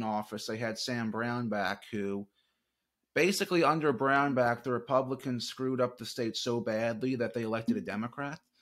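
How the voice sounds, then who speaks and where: On a very clean recording with a silent background, a man in a plain, everyday voice talks at a moderate pace and medium pitch with ordinary pitch variation. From North Carolina (Charlotte), born in New Orleans. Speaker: election analyst. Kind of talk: interview.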